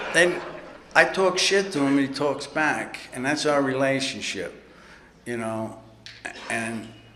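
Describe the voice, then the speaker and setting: A man with a New York accent at a fairly slow pace, with audible room echo and noticeable background noise. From New York City. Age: 60s. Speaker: recovery speaker. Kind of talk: recovery talk at convention. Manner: casual, profane storytelling.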